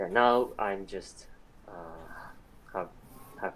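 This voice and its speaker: The voice belongs to a man. He speaks at a fairly slow pace. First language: Japanese. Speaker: student volunteer translator. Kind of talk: casual interview. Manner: halting.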